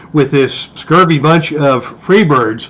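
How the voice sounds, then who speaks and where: Speaking at a moderate pace, a man talks over noticeable background noise. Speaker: tabletop wrestling game replay commentator. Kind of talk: play-by-play wrestling commentary. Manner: excited.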